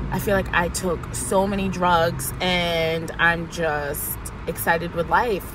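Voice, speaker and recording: An animated woman's voice, fairly low in pitch, with audible room echo and noticeable background noise. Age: 20s. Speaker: vlogger. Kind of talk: personal video diary.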